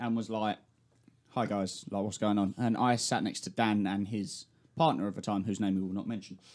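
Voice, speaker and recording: Speaking in a London accent, a man has a fairly low pitch and a moderate pace. The recording is very clean, with a silent background. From South East London. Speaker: podcast host. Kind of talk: casual chat. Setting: studio.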